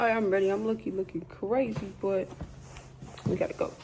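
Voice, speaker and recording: At a fairly quick pace, a woman with a medium pitch and ordinary pitch variation talks amid noticeable background noise and audible room echo. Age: 20s. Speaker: vlogger. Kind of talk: casual vlog. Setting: outdoors walking; library. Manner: whispering.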